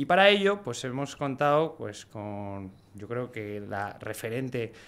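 Speaking very slowly, a man talks with a Spanish accent. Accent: Peninsular Spanish. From Spain. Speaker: podcast host. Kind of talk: casual interview. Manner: casual, filler-heavy. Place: studio. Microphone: studio mic.

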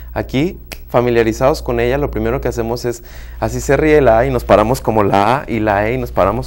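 A man at a fairly low pitch, talking at a fairly quick pace. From Mexico, host's home state. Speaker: therapist and workshop facilitator; workshop facilitator. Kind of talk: interview. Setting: studio. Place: studio.

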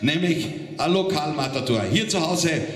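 A man's fairly high voice at a moderate pace, lively intonation over clear background noise.

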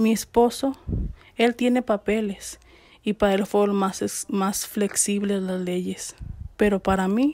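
A woman's medium-pitched voice at a very slow pace, with fairly even intonation and noticeable background noise. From Mexico, Jalisco. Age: 30s. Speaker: deported migrant, former farm worker. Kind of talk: testimony.

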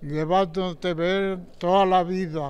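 A man talks at a very slow pace. His intonation stays fairly even. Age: 80s+. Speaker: centenarian; interviewee. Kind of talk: interview. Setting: seniors' centre. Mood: grateful, warm, reflective. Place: hall. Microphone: handheld.

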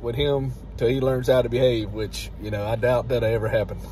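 At a moderate pace, a man speaks in a dry sound with no echo over light background noise. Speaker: vlogger grandfather. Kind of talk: casual vlog chat. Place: car. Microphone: phone near.

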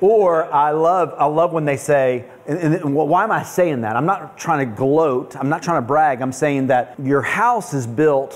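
Ordinary pitch variation from a man, fairly slow in pace. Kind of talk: lecture. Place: cafe.

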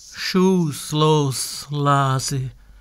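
Fairly even intonation in a man's fairly high-pitched voice. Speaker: poet. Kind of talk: sound poetry reading.

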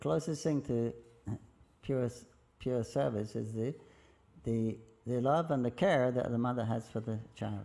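A dark, mellow tone at a fairly slow pace, with long, frequent pauses and ordinary pitch variation. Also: man, medium pitch for a man. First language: English (speaking Russian). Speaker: visiting Hare Krishna lecturer. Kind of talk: lecture. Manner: halting. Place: hall. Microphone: podium.

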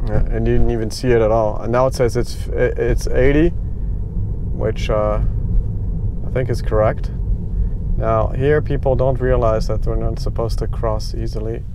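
Noticeable background noise runs under a man speaking at a moderate pace. His voice sounds dry, with no echo. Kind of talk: commentary. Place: car.

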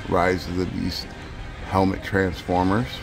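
Faint music plays in the background as a man talks. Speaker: toy hunter vlogger. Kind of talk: casual vlog chat. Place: shop. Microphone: phone near.

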